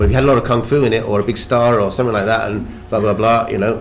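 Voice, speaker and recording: In a British accent, a man with a fairly low pitch talks very fast and with fairly even intonation, with audible room echo. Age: 60s. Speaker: actor. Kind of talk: panel discussion. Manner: halting, many restarts.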